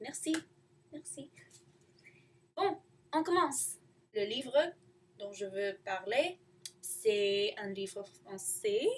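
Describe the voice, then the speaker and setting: Speaking at a very slow pace with long, frequent pauses, a woman uses a medium pitch with very wide pitch swings and big swings in loudness. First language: not French (learner) (speaking French). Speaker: student vlogger. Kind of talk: casual video diary. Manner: halting.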